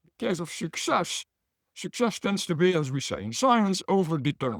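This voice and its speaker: A man with a Belgian accent speaks at a moderate pace in a high pitch, with very wide pitch swings and big swings in loudness, on a very clean, dry, close recording with a silent background and no echo. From Belgium. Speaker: business professor. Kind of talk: talk.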